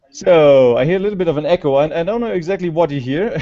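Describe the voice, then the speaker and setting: A man with a German accent and lively intonation, music playing in the background. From Germany. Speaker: scientist presenter. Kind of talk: conference talk. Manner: halting. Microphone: slow internet connection.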